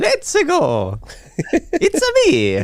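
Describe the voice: This is a put-on character voice. It is delivered in an Italian accent as part of the act.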